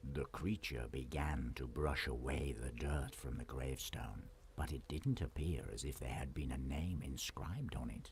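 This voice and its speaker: A man speaks in a put-on character voice, very deep and low, with a calm tone. He keeps a moderate pace with hardly any pauses, over clear background noise. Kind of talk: bedtime-story fairy-tale narration. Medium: solo performance. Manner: calm, measured, descriptive.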